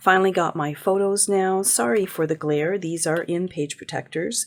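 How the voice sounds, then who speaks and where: This woman has a normal speaking voice with fairly low pitch, ordinary pitch variation and a fairly slow pace. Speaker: paper crafting youtuber. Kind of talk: tutorial.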